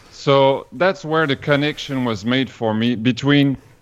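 A man in a Quebec accent speaks fairly slowly at a medium pitch. His intonation is lively over a quiet background. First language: French. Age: 40s. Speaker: vegan chef. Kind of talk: interview. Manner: halting.

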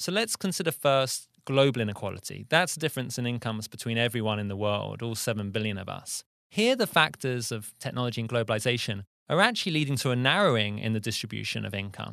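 Delivered in a bright, sharp tone at a very fast pace, the speech has ordinary pitch variation and hardly any pauses. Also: man, medium pitch for a man. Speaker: economics policy researcher. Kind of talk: explanatory monologue.

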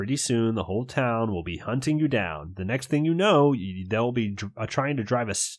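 An unforced reading voice. Its intonation is lively.

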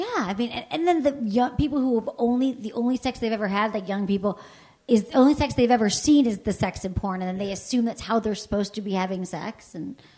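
This woman speaks very fast in a fairly high, somewhat breathy voice with a dark, mellow tone. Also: ordinary pitch variation. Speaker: sex educator and podcast host. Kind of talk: casual conversation. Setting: stage with live audience.

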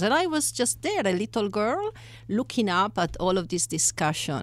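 A woman with an Italian accent talks at a moderate pace. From Italy. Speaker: economics professor. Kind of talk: interview. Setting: studio.

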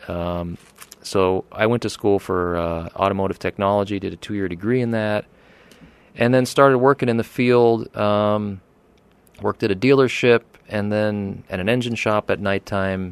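A man with an American accent and a fairly low pitch talks at a moderate pace in an ordinary speaking voice, with fairly even intonation and a dry, close sound with no echo. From eastern Pennsylvania, Poconos. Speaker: car restoration shop owner. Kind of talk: interview. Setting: studio.

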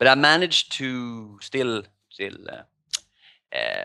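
A man speaks with a Swedish accent. His tone is bright and sharp. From Sweden. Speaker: poker player and life coach. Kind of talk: casual interview. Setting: video call from Thailand.

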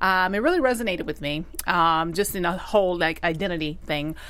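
A plain, everyday voice from a woman, fairly low in pitch, at a fairly quick pace with ordinary pitch variation. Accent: American. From US South, Alabama. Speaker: TV after-show panelist. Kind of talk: casual chat.

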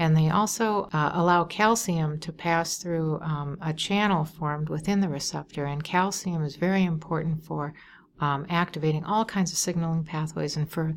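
Recorded very cleanly against a silent background, a woman with an American accent and an ordinary speaking voice talks at a moderate pace. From Wisconsin, suburb of Milwaukee. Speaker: neuroscience professor. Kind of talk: interview.

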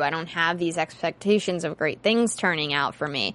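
A woman with an American accent talks in a plain, everyday voice at a fairly low pitch. She keeps a moderate pace with ordinary pitch variation. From western Pennsylvania. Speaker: TV after-show host. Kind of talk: casual chat. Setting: studio.

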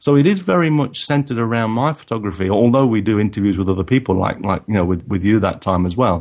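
Against a quiet background, a man with a fairly low pitch talks very fast and lively, with hardly any pauses. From England. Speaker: photographer. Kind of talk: interview.

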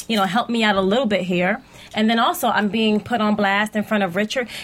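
A woman with a New Jersey accent talks at a very fast pace in a monotone, flat intonation over noticeable background noise. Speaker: TV actor guest on a show recap. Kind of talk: casual chat. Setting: studio, live stream.

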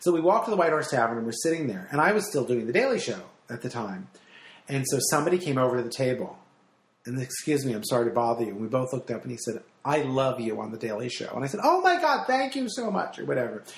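Somewhat breathy, a man with an American accent talks at a very fast pace. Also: medium pitch for a man, lively intonation. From New Jersey. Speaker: radio host and stand-up comic. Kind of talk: casual chat. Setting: in a home.

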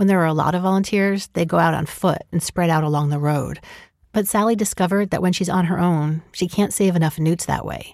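Recorded very cleanly over a silent background, a woman with a plain, everyday voice speaks at a fairly quick pace, her pitch fairly low and her intonation fairly even. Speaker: podcast host and producer. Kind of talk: scripted narration.

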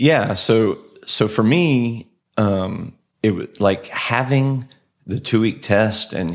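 A man speaks with a Texan accent. His pitch shows ordinary variation. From Texas, Austin. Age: 40s. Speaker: health coach and endurance athlete. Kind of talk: casual interview chat.

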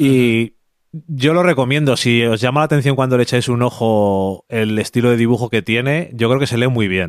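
The recording is very clean, with a silent background and a dry, close sound with no echo. A man speaks at a medium pitch with ordinary pitch variation. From Spain, Burgos. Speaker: comics podcast co-host. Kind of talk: casual chat.

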